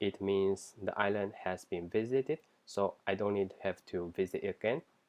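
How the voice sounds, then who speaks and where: With a non-native accent, a man talks at a fairly slow pace using fairly even intonation. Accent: non-native English accent, self-described. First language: not English. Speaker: software engineer job candidate. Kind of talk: mock coding interview, thinking aloud. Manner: halting, with frequent self-corrections and fillers.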